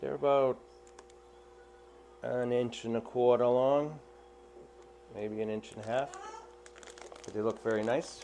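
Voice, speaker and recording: Amid noticeable background noise, a man with a Boston accent speaks at a medium pitch and a fairly slow pace, with fairly even intonation and long, frequent pauses. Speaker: aquarium fish hobbyist. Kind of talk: unboxing commentary. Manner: casual, halting.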